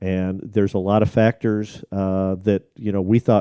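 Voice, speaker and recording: At a moderate pace, a man with an American accent speaks at a fairly low pitch in a dark, mellow tone, the sound dry and close with no echo. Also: quiet background. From US Midwest, Chicago. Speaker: IT company executive. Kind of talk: casual interview. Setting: studio.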